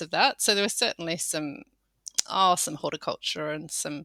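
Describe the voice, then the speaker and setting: A woman with an Australian accent talks at a moderate pace in a very clean recording with a silent background, the sound dry and close with no echo. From Australia, Sydney. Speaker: farmer. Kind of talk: interview.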